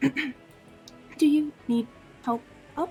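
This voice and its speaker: A put-on character voice is heard over clear background music. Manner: unexpectedly squeaky for the person.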